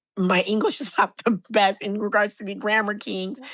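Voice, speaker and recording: In an American accent, a woman speaks with a normal speaking voice at a moderate pace and medium pitch. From Miami, Florida, Haitian family. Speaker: public defender and congressional candidate. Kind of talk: podcast interview.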